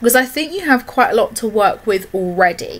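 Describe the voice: With lively intonation, a woman speaks at a fairly high pitch in a fairly bright tone.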